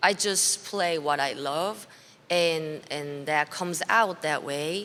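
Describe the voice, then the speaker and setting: A woman's very deep, low voice in a Korean accent, very slow, with ordinary pitch variation. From South Korea. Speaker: blues musician. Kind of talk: interview. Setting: backstage at music festival. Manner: halting.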